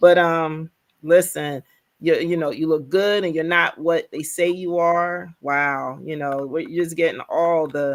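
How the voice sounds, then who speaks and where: A woman speaks in a normal speaking voice at a fairly slow pace, fairly low in pitch with fairly even intonation, on a very clean recording with a silent background. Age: 50s. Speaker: livestream host. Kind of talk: casual chat.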